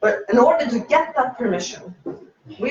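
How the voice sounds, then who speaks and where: Speaking at a high pitch, a man talks with a non-native accent. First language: not English. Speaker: meetup speaker, UX designer. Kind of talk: talk at meetup. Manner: halting.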